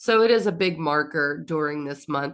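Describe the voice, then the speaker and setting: With vocal fry and lively intonation, a woman speaks. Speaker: astrologer. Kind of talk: monthly forecast talk. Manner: stumbling over words; casual, chatty.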